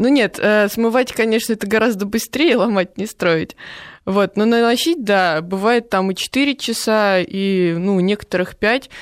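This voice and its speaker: Very clean recording, silent background, and a woman with a plain, everyday voice. She uses medium pitch and ordinary pitch variation at a fairly slow pace. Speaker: prosthetic makeup artist. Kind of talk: radio interview. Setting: studio.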